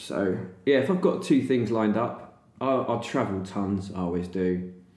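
A man with a southern English accent speaks in a fairly low voice, with audible echo from the room. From England, Chatham, Kent. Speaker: artist and illustrator. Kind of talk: casual chat. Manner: animated.

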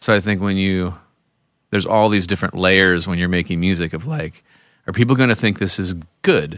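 A man with a very deep, low pitch talks at a fairly quick pace, broken by long, frequent pauses. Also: ordinary pitch variation, very clean recording, silent background. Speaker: podcast host and singer-songwriter. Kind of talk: casual chat.

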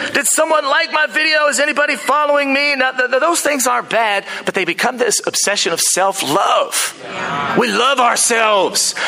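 A man with an American accent speaks in a raised, projected voice at an extremely high pitch, with lively intonation and very even loudness. He keeps a moderate pace with hardly any pauses, over noticeable background noise. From United States. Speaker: pastor. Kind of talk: sermon. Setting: church. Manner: animated.

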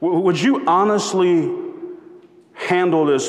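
High-pitched for a man, this voice carries ordinary pitch variation, with audible room echo and noticeable background noise. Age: 40s. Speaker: pastor. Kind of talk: sermon.

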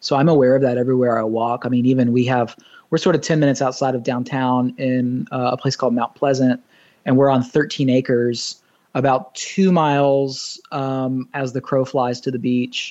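At a moderate pace over a quiet background, a man with an American accent uses a normal speaking voice at medium pitch with fairly even intonation. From US South (Nashville and Orlando). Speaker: pastor. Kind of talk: casual chat.

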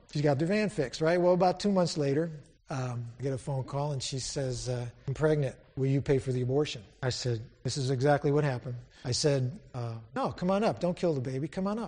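A man speaks with an American accent in a fairly high-pitched, somewhat breathy voice with a dark, mellow tone. His pitch varies in an ordinary way. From Syracuse, New York. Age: 50s. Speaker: lay preacher. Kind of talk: sermon. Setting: church. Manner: animated.

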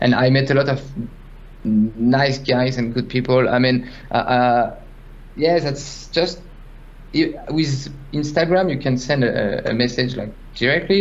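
A man with a French accent talks at a fairly slow pace with ordinary pitch variation. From France. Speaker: 3D artist. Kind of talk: casual interview. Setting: video call. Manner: halting.

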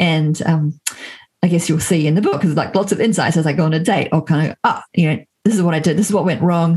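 The speaker talks at a very fast pace with an American accent. The voice is somewhat breathy, with ordinary pitch variation. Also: woman. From New Zealand. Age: 40s. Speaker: entrepreneur and author. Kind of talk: interview.

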